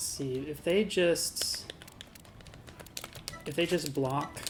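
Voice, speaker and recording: Mumbling at a very slow pace, a woman with a very deep, low pitch and fairly even intonation speaks over music in the background. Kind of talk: game tutorial commentary. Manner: a bit mumbly; casual, hesitant with fillers.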